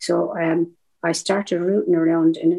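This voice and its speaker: A woman with an Irish accent speaks in a fairly low, dark and mellow voice. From southeast Ireland. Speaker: veteran activist. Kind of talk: interview storytelling.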